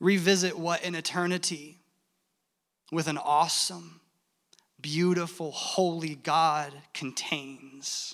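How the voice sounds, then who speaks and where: The delivery is very slow, in a monotone, flat intonation. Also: man, high pitch for a man. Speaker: church worship leader. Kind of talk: sermon. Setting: church with congregation.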